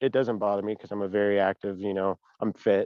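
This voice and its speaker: A man at a very fast pace. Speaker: client. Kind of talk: casual conversation. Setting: phone call.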